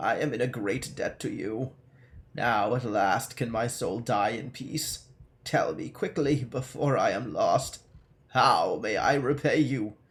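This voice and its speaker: A man's put-on character voice, raspy and shaky, at medium pitch and a fairly slow pace, in a very clean recording with a silent background. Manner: grateful, dying.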